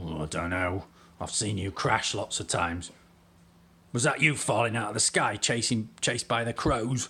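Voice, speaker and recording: In a very clean recording with a silent background, a man does a put-on character voice that is raspy and fairly low-pitched, with ordinary pitch variation at a moderate pace. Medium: actual play. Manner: worried, fussy.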